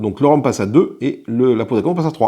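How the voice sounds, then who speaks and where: A man speaks at a very fast pace with a fairly high pitch. His tone is dark and mellow over a quiet background. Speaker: board game youtuber. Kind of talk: solo board game playthrough commentary. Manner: casual, thinking aloud.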